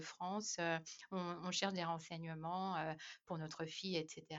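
A woman's unremarkable speaking voice, fairly low in pitch, at a moderate pace. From Madagascar. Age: 30s. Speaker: expatriate mother. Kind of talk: casual chat.

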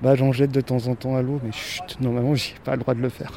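Moderate-paced speech from a man, with noticeable background noise behind it. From Switzerland. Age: 30s. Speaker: formerly homeless park guide. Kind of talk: casual guided walk. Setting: outdoors in a park.

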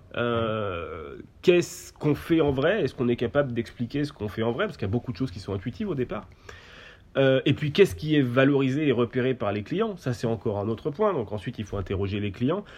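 Very wide pitch swings at a fairly quick pace. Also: man, medium pitch for a man. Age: 20s. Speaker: company founder. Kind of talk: interview.

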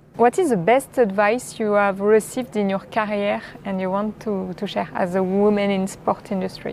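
A woman with a French accent speaks at a medium pitch and a moderate pace. Her intonation is fairly even, with hardly any pauses. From France. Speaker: podcast host and sports content creator. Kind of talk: interview.

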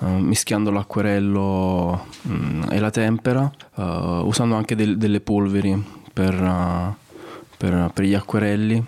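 A man's fairly low voice at a very slow pace, with fairly even intonation and very even loudness. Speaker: comic artist. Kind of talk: interview. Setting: art gallery.

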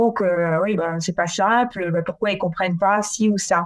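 Noticeable background noise surrounds a woman talking at a moderate speed. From France. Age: 40s. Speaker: former naval officer and local politician. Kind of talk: interview. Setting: at home. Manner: halting, many repetitions.

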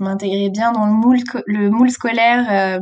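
A woman talks at a fairly slow pace. Her fairly high voice stays monotone and flat. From France, Brittany (south Finistère). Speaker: author and youth trainer. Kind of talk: interview. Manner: hesitant, many fillers.

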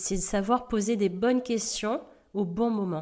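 In a very clean recording with a silent background, a woman speaks with a dark, mellow tone. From Madagascar, southeast coast. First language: Indian dialect (speaking French). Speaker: podcast host and life coach. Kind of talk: personal storytelling monologue. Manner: halting with frequent hesitations.

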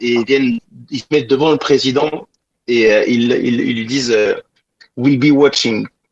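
Here a man with a fairly high pitch speaks at a fairly slow pace. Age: 40s. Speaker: singer-guitarist. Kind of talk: interview.

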